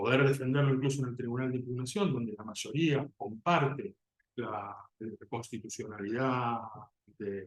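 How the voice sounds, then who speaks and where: A man speaks at medium pitch with ordinary pitch variation and a somewhat breathy sound. His loudness swings a lot. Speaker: job candidate, criminal defense lawyer. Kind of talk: oral exam. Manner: fast; halting, repeats words.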